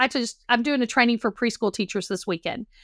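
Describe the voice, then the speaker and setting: With a Texas accent, a woman speaks at a fairly high pitch in a very clean recording, dry and close with no echo and a silent background. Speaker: counselor. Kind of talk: interview conversation.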